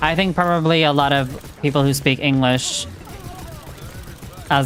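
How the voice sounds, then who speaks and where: With noticeable background noise behind her, a woman speaks at a moderate pace with a very deep, low pitch and fairly even intonation. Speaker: video game live streamer. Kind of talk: casual live stream chat while gaming.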